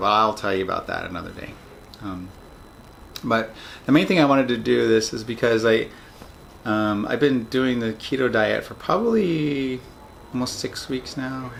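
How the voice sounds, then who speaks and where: Against noticeable background noise, a man talks at a moderate pace and medium pitch, with ordinary pitch variation, big swings in loudness and long, frequent pauses. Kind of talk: casual video diary talk to camera. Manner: hesitant, many filler words.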